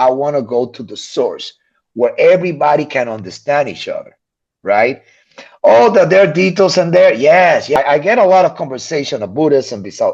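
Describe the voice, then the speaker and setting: A man with a non-native accent speaks in an animated tone at a moderate pace, with big swings in loudness over a quiet background. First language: not English. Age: 50s. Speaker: physician. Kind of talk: casual chat.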